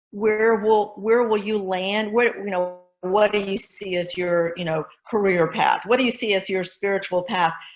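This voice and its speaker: In an American accent, a woman with a plain, everyday voice speaks at a moderate pace and medium pitch with fairly even intonation. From Texas, Fort Worth. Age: 60s. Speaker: new church member. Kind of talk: casual interview.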